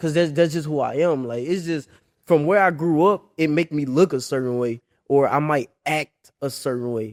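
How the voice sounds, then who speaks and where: A man with an American accent and an unremarkable speaking voice talks at a moderate pace in a fairly high pitch. His pitch varies in an ordinary way, in a dry, close sound with no echo. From Memphis, Tennessee (US South). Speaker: college football player. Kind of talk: casual interview.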